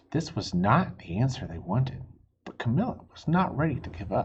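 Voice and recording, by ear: At a moderate pace and medium pitch, a man speaks with big pitch swings and audible room echo.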